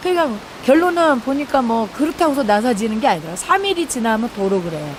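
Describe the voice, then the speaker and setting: The speaker has a strong Jeolla accent and talks at a very fast pace with very wide pitch swings. Noticeable background noise is present. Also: woman, high pitch for a woman. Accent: thick Jeolla dialect. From South Korea, Jeolla. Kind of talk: testimony. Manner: conversational, halting.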